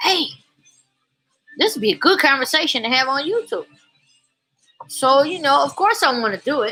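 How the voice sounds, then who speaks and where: With music in the background, a woman uses a raised, projected voice and an animated tone, speaking in a high pitch with very wide pitch swings at a moderate pace with long, frequent pauses. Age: 40s. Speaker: YouTuber vlogger. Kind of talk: casual monologue vlog.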